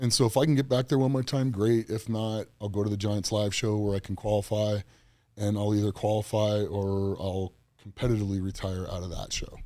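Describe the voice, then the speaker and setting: With an American accent, a man talks at a fairly quick pace in a fairly low pitch, his dark, mellow tone carrying fairly even intonation. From US Southwest and California. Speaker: strongman athlete. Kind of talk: casual chat.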